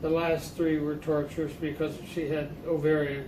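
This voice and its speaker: The voice has monotone, flat intonation over noticeable background noise. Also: man. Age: 80s+. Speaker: Navy veteran. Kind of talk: interview answer, reminiscing. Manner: halting, hesitant.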